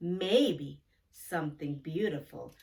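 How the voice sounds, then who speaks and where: A woman's put-on character voice, very deep and low in pitch, with a warm tone. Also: ordinary pitch variation. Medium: read story. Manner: warm, thoughtful.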